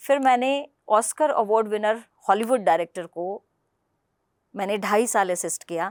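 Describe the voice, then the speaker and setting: Woman with a Punjabi accent at a fairly high pitch and ordinary pitch variation, dry and close with no echo, very clean recording with a silent background. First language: Punjabi (speaking Hindi). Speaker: political party spokesperson and translator. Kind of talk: interview.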